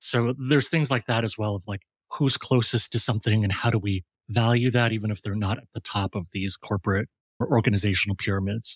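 The speaker talks very fast in a somewhat breathy voice with an American accent. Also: man, fairly low pitch for a man, fairly even intonation, dry, close sound with no echo, very clean recording, silent background. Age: 40s. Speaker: designer and design educator. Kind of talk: casual interview.

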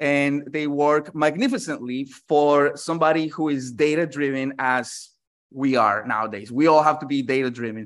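Against a quiet background, a man talks at a fairly slow pace. He has a normal speaking voice with a fairly high pitch. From New York City (born in Colombia). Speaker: marketing consultant. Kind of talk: interview.

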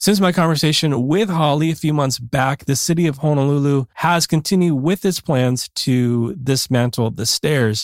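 A man with an ordinary speaking voice and fairly high pitch talks with hardly any pauses and very even loudness, in a very clean, dry, close recording with a silent background and no echo. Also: ordinary pitch variation, moderate pace. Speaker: podcast host. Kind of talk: interview.

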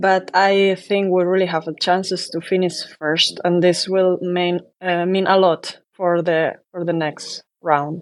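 A woman with a fairly low pitch speaks at a fairly slow pace in a monotone, flat intonation. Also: hardly any pauses. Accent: Spanish. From Spain. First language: Spanish. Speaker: professional handball player. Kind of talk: interview.

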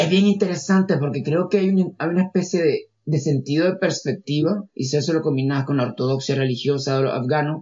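This man's voice sits at a fairly high pitch with ordinary pitch variation. He talks at a moderate pace. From Nicaragua. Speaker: architect and researcher. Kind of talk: interview testimony. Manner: halting, with many fillers and repetitions.

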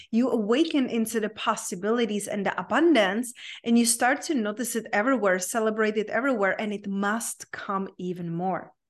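Against a quiet background, a woman with a Czech accent talks at a fairly quick pace with hardly any pauses, using a fairly high pitch and ordinary pitch variation. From Czech Republic. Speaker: life coach. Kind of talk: interview conversation.

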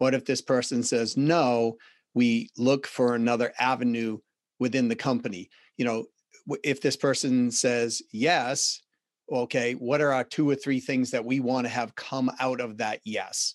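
Slow-paced male voice in a Boston accent, medium in pitch and monotone, flat in intonation, with a quiet background. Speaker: sales and business consultant. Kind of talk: interview.

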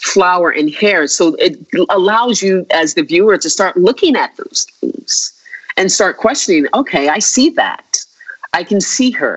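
With an American accent, a woman talks at a fairly slow pace, her pitch swinging very widely. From United States. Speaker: visual artist. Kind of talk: interview. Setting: remote call. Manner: halting, many fillers.

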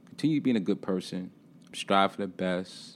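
Very deep, low-pitched male voice in an American accent, lively in intonation at a moderate pace, on a very clean recording with a silent background. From Brooklyn, New York. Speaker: film festival founder. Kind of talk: interview. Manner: animated.

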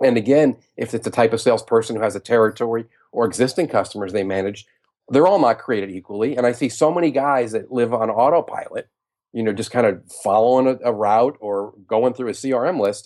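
Against a quiet background, a man with an American accent speaks at a medium pitch with ordinary pitch variation. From New York. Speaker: sales consultant and author. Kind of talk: interview. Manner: blunt.

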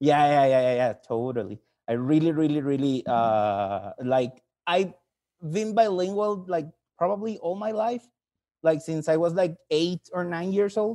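In a Mexican accent, a man speaks at a fairly slow pace with long, frequent pauses. His fairly high, dark and mellow voice makes very wide pitch swings. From Mexico. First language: Spanish. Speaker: caller, English teacher. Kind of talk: call-in question. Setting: call.

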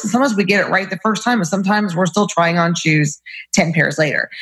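A woman's medium-pitched voice moves at a very fast pace, with ordinary pitch variation. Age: 40s. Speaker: gynecologist. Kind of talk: casual chat.

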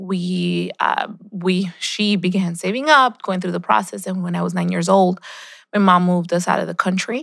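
A moderately paced woman's voice, a very clean recording with a silent background. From Colombia, raised in Queens, New York. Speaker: state legislator. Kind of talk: interview.

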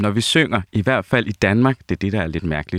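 Moderate pace and ordinary pitch variation in a very clean recording with a silent background, its sound dry and close with no echo. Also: man. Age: 30s. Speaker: opera singer. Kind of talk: casual chat.

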